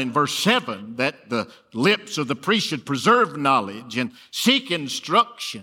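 Fairly high in pitch, a man speaks in a Southern US accent with very wide pitch swings. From Alabama. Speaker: preacher. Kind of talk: sermon. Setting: church.

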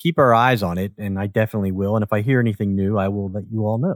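Heard on a very clean recording with a silent background and a dry, close sound with no echo, a speaker with an American accent and an ordinary speaking voice talks at a fairly quick pace. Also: man. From US Northeast, Philadelphia. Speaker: podcast host. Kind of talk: interview podcast.

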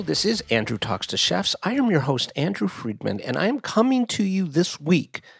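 Noticeable background noise sits behind a man with an American accent. His fairly high voice moves at a fairly quick pace with very wide pitch swings. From US, Miami, Florida. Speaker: podcast host. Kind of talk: podcast intro monologue. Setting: nephew's bedroom, relative's home. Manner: speaking somewhat quieter than usual.

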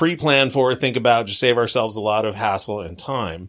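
A man with a Californian accent talks at a very fast pace. His pitch variation is ordinary, and the recording is very clean with a silent background. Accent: Californian American. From US West Coast, Long Beach, California. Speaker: hockey team podcast host. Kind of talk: casual interview chat.

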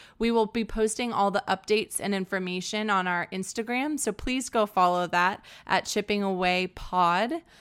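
An ordinary speaking voice: a woman with an American accent talks at medium pitch and a moderate pace, with ordinary pitch variation, on a very clean recording with a silent background. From Texas, San Antonio. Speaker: podcast host. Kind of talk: casual interview.

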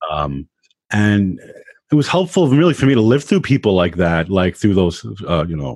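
A man speaks with an American accent. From New York, Queens and Long Island. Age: 30s. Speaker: digital media consultant and Muay Thai practitioner. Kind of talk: casual interview. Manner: halting, many fillers and repeats.

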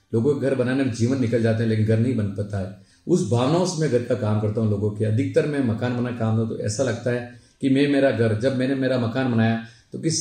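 A man's voice at medium pitch with ordinary pitch variation, moderate pace, and audible room echo. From Udaipur, Rajasthan, India. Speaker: civil contractor and local politician. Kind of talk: life story interview.

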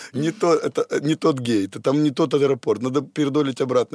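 Behind the speaker, music can be heard. He is a man whose intonation is lively. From Odesa, Ukraine. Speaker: bodybuilding champion and trainer. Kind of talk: casual chat. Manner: animated.

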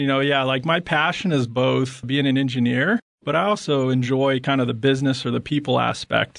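Fairly even intonation marks this man's ordinary speaking voice, set at a medium pitch. He talks at a fairly quick pace. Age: 40s. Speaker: tech company CTO. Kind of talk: interview.

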